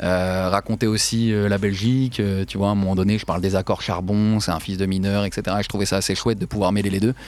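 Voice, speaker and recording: A man talks at a fairly quick pace in a fairly low pitch, his intonation monotone and flat. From France. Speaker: investigative journalist and author. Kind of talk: interview. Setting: studio.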